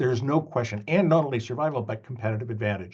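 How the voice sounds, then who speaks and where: Somewhat breathy and with lively intonation, a man speaks with a Canadian accent. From Canada. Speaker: business school professor. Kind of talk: lecture. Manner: halting, many fillers.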